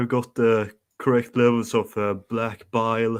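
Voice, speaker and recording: A man with a Swedish accent, medium in pitch, at a fairly slow pace against a quiet background. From Sweden. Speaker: caller. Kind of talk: casual chat. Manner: halting, many fillers.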